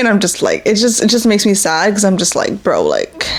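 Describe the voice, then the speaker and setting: Noticeable background noise behind a woman at a fairly quick pace, medium in pitch, with ordinary pitch variation. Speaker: podcast host. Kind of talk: casual personal talk. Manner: halting, stuttering.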